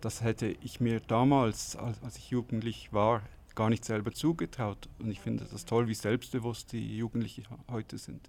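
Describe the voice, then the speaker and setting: Vocal fry and big swings in loudness. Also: man, medium pitch for a man, fairly even intonation, moderate pace. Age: 40s. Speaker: interviewee. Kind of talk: interview answer.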